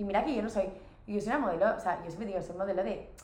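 Amid noticeable background noise and audible room echo, a woman speaks in an animated tone at a medium pitch. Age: 20s. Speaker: model. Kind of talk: casual chat. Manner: fast, animated.

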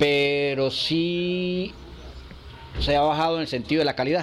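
A man speaks in a fairly high pitch with fairly even intonation. Background noise is noticeable. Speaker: cigar workers' association leader. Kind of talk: interview.

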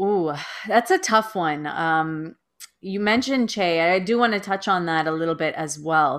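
At a moderate pace, a woman with a Canadian accent uses a normal speaking voice, fairly low in pitch, with ordinary pitch variation. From Toronto, Canada. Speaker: middle school teacher and podcaster. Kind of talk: casual interview.

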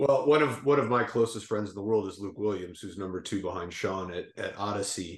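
A man speaks at a fairly quick pace with hardly any pauses, his pitch fairly low and its variation ordinary. His loudness swings widely, in an unremarkable speaking voice. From southern Minnesota, US. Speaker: golf director and podcast co-host. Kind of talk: casual interview chat.

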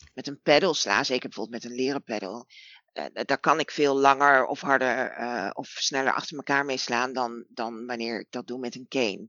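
A woman speaks at a moderate pace. Her pitch is very deep and low, with ordinary pitch variation. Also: big swings in loudness. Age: 40s. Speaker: BDSM practitioner. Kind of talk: casual chat. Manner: halting.

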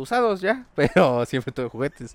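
A man at medium pitch and moderate pace. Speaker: podcast co-host. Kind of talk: casual comedic chat.

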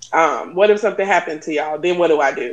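This woman has a plain, everyday voice and a fairly low pitch. Her intonation stays fairly even. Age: 40s. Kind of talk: casual chat.

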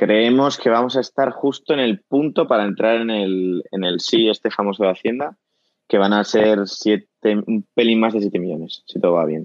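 Pitch moves in an ordinary way as a man talks at a moderate pace. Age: 20s. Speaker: company co-founder. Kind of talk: casual interview. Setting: remote call from home.

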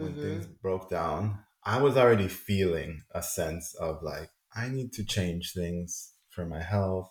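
With music playing in the background, a man speaks at a fairly slow pace using lively intonation. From Colombia. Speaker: shamanic and tantric healer. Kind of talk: casual interview chat.

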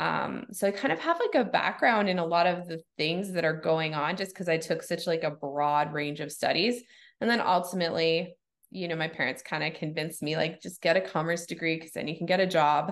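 Against a quiet background, a woman with an unremarkable speaking voice talks at a fairly quick pace, her pitch fairly low with ordinary variation. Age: 40s. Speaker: yoga studio owner. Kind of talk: casual interview chat.

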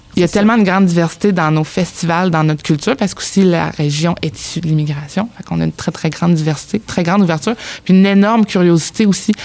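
Amid noticeable background noise, a woman talks very fast at a fairly low pitch with ordinary pitch variation. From Abitibi-Témiscamingue, Quebec. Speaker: newcomer integration worker. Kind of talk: casual chat.

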